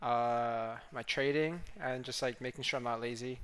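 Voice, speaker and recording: Using an ordinary speaking voice, a man of medium pitch talks at a fairly slow pace with fairly even intonation. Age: 20s. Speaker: vlogger. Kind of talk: casual vlog narration. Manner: casual, filler-heavy.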